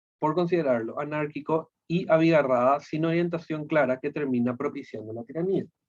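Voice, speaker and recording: A man's ordinary speaking voice at a moderate pace, fairly high in pitch, with ordinary pitch variation. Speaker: philosophy teacher. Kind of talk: lecture.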